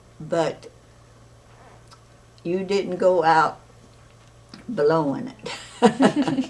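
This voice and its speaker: Through noticeable background noise, a woman of medium pitch speaks very slowly with long, frequent pauses. Her pitch swings very widely. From Alabama. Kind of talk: interview answer.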